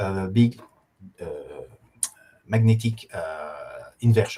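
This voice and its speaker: Somewhat breathy and dark and mellow in tone, a man speaks with a French accent at a medium pitch with ordinary pitch variation. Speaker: professor, geochronologist. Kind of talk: lecture. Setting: online course. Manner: halting, many fillers.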